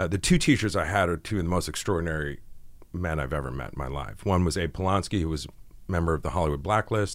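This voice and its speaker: A very deep, low male voice with vocal fry and an American accent, at a very fast pace with ordinary pitch variation, on a very clean recording with a silent background. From New England, US. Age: 40s. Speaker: screenwriter and producer. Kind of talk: podcast interview. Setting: studio.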